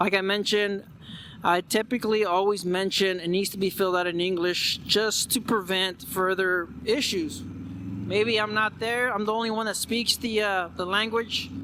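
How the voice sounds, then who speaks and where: A man uses a raised, projected voice. His pitch is high and his intonation fairly even. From Mexican American, USA. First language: Spanish. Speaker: vlogger. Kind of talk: casual vlog monologue. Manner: halting, with repeated words.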